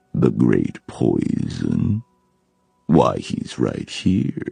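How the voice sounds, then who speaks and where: In a rumbling, put-on character voice, a man speaks at a very slow pace. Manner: menacing, infernal.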